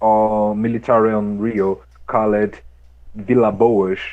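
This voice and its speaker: He talks very slowly. This man's pitch stays medium. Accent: Brazilian Portuguese. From Brazil. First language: Portuguese. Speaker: activist. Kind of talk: interview. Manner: halting.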